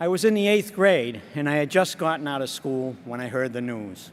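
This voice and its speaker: A man speaks in a Boston accent at a moderate pace. His pitch is fairly high. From Boston area, Massachusetts. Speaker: insurance agent. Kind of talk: acceptance speech.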